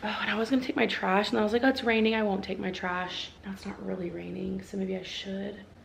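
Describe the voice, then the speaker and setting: In a room with audible echo and noticeable background noise, a woman talks very fast with hardly any pauses, at a medium pitch with ordinary pitch variation. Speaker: vlogger and first grade teacher. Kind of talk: casual vlog talk. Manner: chatty, fast; quiet.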